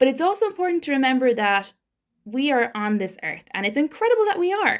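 A woman with an Irish accent speaks at a very fast pace, high in pitch with very wide swings. The recording is very clean, with a silent background. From Ireland. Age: young. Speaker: podcast host. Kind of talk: casual interview. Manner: animated.

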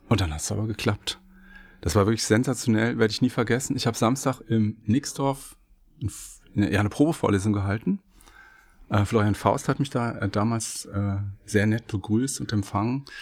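A man talks at a medium pitch and a moderate pace. His pitch varies in an ordinary way, and his pauses are long and frequent. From Germany, Hesse (Wiesbaden). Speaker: law professor. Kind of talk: casual chat. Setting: studio.

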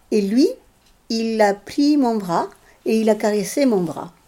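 Speaking very slowly in a Chilean accent, a woman uses lively intonation and a dark, mellow tone. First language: Spanish (speaking French). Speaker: interviewee sharing personal story. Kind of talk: personal testimony interview. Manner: halting, with many repetitions.

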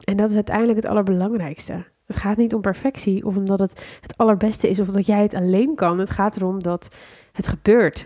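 Speaking at a fairly quick pace, a woman uses a medium pitch, a dark, mellow tone and fairly even intonation. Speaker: business coach and podcast host. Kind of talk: solo podcast monologue. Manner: unscripted, conversational.

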